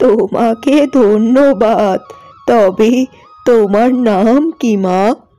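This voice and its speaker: Faint music plays in the background behind a cartoonish character voice. It moves at a very slow pace with fairly even intonation. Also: woman, fairly high pitch for a woman. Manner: gentle, motherly.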